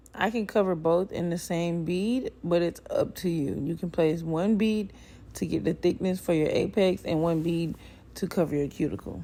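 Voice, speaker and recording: A woman's dark, mellow, fairly low voice at a moderate pace with ordinary pitch variation, on a very clean recording with a silent background. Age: 20s. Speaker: nail technician. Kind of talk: tutorial narration.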